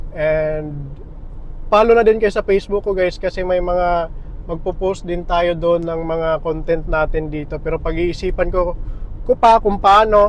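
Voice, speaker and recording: With noticeable background noise, a man talks at a fairly slow pace using fairly even intonation. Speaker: vlogger. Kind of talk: casual vlog talk. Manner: halting. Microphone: small clip-on mic, camera far away.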